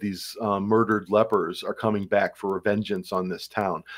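With a Midwestern American accent, a man speaks in monotone, flat intonation at fairly low pitch on a very clean recording with a silent background. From Ohio, Cleveland. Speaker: college English professor. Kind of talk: interview conversation. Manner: halting, many fillers.

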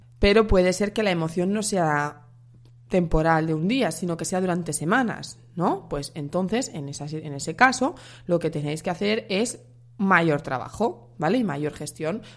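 A woman at a fairly low pitch, fairly slow pace and ordinary pitch variation, in a very clean recording with a silent background. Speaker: dietitian and podcast host. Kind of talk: solo podcast monologue.

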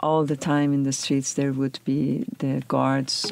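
A woman's very deep, low voice with a dark, mellow tone, fairly even intonation and a fairly slow pace, on a very clean recording with a silent background. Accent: Persian. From Iran, Tehran. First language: Persian. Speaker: professor. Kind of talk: interview testimony.

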